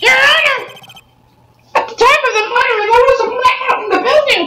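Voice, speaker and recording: Someone uses a put-on character voice at an extremely high pitch, moving at a moderate pace. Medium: fan dub. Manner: shouting, emphatic.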